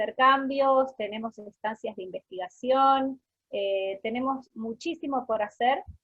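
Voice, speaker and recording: With a high pitch, this woman's speech unfolds at a fairly slow pace. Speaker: researcher and lecturer. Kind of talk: lecture. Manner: deliberately slowed speech.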